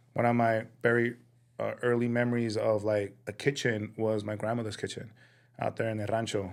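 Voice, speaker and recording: Flat, monotone intonation carries the speech along at a moderate pace. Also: man, medium pitch for a man. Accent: Spanish. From Sinaloa, Mexico, raised in East Phoenix. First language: Spanish. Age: 30s. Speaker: chef and restaurant owner. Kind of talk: casual interview. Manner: hesitant, many fillers.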